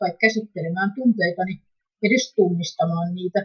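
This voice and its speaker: The speaker is a woman with a somewhat breathy voice. Her intonation stays fairly even. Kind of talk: reading aloud a written testimony.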